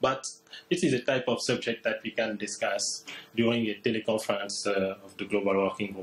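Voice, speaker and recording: A man's medium-pitched voice with a French accent, fairly quick pace and ordinary pitch variation over noticeable background noise. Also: big swings in loudness. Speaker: postdoctoral researcher. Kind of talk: seminar presentation. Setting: seminar room with livestream.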